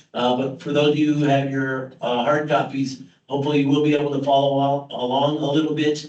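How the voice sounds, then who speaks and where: Through audible room echo, a man speaks at a fairly quick pace in a monotone, flat intonation. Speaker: project presenter at public meeting. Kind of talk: technical presentation at public meeting. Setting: hybrid public meeting with live audience. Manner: fast.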